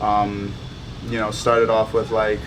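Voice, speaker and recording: A medium-pitched man talks amid noticeable background noise and audible room echo. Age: 20s. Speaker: MMA fighter. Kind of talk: documentary interview. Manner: halting, many fillers.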